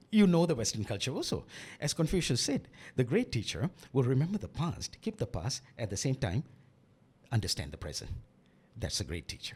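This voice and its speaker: A man at a fairly quick pace, very wide pitch swings, vocal fry and long, frequent pauses. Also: medium pitch for a man. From Malaysia. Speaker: author and English teacher. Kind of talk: interview. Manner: halting.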